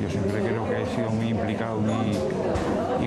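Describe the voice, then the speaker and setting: A man at a fairly quick pace with music in the background. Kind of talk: interview answer. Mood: nostalgic, warm.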